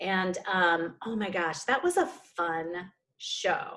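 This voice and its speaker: Someone speaks with a Minnesota accent in a very clean recording with a silent background. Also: woman. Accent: Minnesota accent, returned. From Minnesota, US Upper Midwest. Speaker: stage actor and director. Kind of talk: casual chat.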